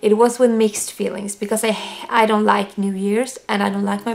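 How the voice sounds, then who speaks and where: A woman with a Swedish accent speaks at a fairly high pitch with monotone, flat intonation. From Sweden. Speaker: vlogger. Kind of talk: personal testimony to camera. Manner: halting.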